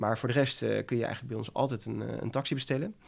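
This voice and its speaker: A man at medium pitch, very fast, with vocal fry and ordinary pitch variation, on a very clean recording with a silent background. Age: 30s. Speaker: entrepreneur, former professional poker player. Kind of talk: interview. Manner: halting.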